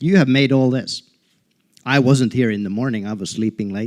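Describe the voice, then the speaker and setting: This man's voice sits at a medium pitch. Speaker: university faculty member. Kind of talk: speech to audience. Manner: loud; animated.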